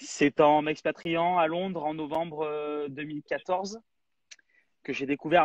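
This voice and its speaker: In a normal speaking voice, a man talks at a fairly slow pace with a fairly high pitch, the sound dry and close with no echo. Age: 30s. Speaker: app founder, entrepreneur. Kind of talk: live interview.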